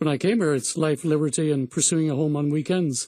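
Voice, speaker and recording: With an Irish accent, a man talks at a fairly quick pace in a fairly high pitch, his intonation fairly even and his tone dark and mellow. The recording is very clean, with a silent background. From Ireland. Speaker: real estate agent. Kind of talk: radio interview.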